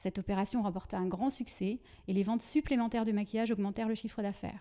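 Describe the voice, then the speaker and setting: Against a quiet background, a woman with a fairly high pitch speaks in a dark, mellow tone with fairly even intonation. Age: 40s. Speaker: trainer and consultant; trainer. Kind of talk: prepared self-presentation. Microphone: handheld.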